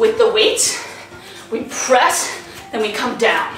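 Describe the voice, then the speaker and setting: Faint music sits behind a woman with a high pitch who speaks at a fairly slow pace with ordinary pitch variation, in audible room echo. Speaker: fitness instructor. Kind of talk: workout instruction. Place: home room. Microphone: camera far.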